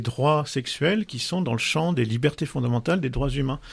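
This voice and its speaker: Somewhat breathy and fairly high, a man's voice moves at a moderate pace with lively intonation. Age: 50s. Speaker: sexologist and couples therapist. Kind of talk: casual chat. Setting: studio.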